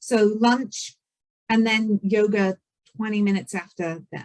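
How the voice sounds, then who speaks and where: A woman with a British accent speaks fairly slowly in a fairly high pitch. The sound is dry and close with no echo, and her intonation is fairly even. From Britain. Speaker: event organizer. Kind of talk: event briefing. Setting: video call. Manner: hesitant, many fillers.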